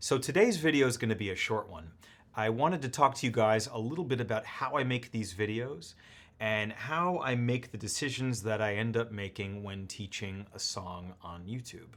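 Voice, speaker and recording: Speaking at a moderate pace in a normal speaking voice, a man has a medium pitch, lively intonation and big swings in loudness. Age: 30s. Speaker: piano teacher. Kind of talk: tutorial.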